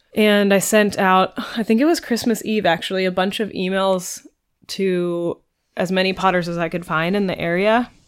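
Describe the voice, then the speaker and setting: Moderate pace in a West Coast accent, with ordinary pitch variation, on a very clean recording with a silent background. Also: woman. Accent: American West Coast. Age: late 20s. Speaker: pottery apprentice. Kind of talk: casual interview.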